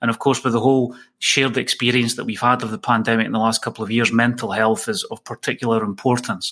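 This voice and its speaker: A man talks at a very fast pace with hardly any pauses. His medium-pitched voice is bright and sharp in tone, with monotone, flat intonation. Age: 40s. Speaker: workplace wellbeing expert and author. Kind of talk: podcast interview.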